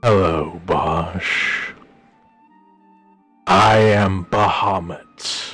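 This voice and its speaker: A man puts on a booming character voice with very deep, low pitch, speaking at a very slow pace. Faint music plays in the background. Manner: commanding, godlike.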